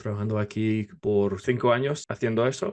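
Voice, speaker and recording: Fairly low pitch from a man, fairly even intonation, quiet background. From US South, North Carolina. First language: English (speaking Spanish). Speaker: podcast co-host and theology guest. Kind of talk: interview. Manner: halting.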